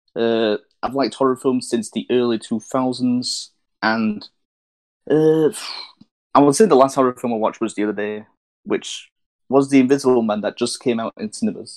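A normal speaking voice from a man, medium-pitched, with ordinary pitch variation, a moderate pace and a dry, close sound with no echo. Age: 20s. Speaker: podcast co-host. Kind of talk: casual chat.

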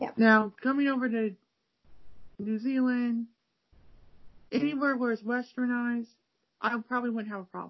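Using an American accent, a woman talks at a moderate pace with a high pitch. Her intonation is monotone and flat, with long, frequent pauses. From Cleveland, Ohio. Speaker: podcast host, language learner. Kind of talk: casual interview chat. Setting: video call.

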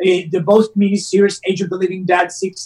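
A man speaks with an Italian accent. His voice is pitched high. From Rome, Italy. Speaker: actor. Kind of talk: casual interview. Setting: remote call from Southern California. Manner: halting, hesitant with fillers.

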